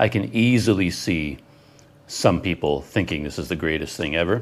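A man with a Canadian accent speaks at a very deep, low pitch with vocal fry. His intonation is lively and his pace moderate. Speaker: travel vlogger. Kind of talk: unboxing video. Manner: animated.

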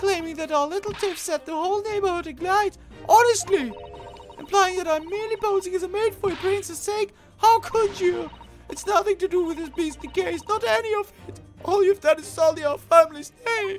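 Shrill and extremely high, a female-sounding put-on character voice rattles along at a fairly quick pace over clear music in the background. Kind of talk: comic overacting. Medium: game stream. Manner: indignant, shrill, scolding.

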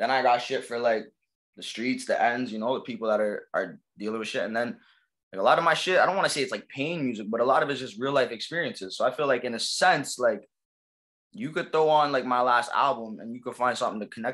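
With ordinary pitch variation, a man talks at a very fast pace. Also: quiet background. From Toronto, East Downtown; Toronto. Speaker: rapper; interviewee. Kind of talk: casual interview. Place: home room. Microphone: webcam.

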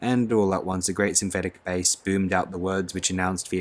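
Fairly even in intonation, the unforced reading voice carries on.

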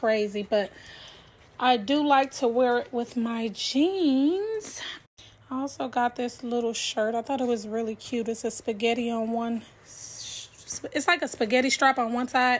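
A woman's high-pitched voice with long, frequent pauses. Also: ordinary pitch variation, fairly slow pace. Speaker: vlogger. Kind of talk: casual vlog chat. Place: home room. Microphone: phone near.

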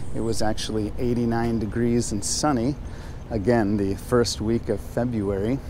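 A man speaks at a moderate pace with fairly even intonation, the sound dry with no echo but with noticeable background noise. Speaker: travel vlogger. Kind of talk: casual vlog chat. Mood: relaxed, joking. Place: street. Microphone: phone near.

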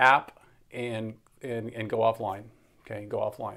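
With a quiet background behind him, the man keeps a moderate pace. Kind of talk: tutorial. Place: home room. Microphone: phone near.

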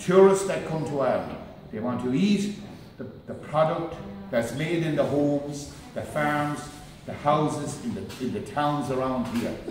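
A man at a moderate pace with ordinary pitch variation, light background noise and audible room echo. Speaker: guest. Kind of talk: public speech. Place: hall. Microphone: camera far.

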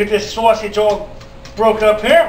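Through noticeable background noise, a man with a high voice speaks very slowly. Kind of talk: casual cooking tutorial. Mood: relaxed, jokey. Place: kitchen. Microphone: camera far.

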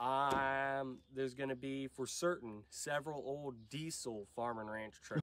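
This man talks slowly with a nasal sound and fairly even intonation. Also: fairly bright tone.

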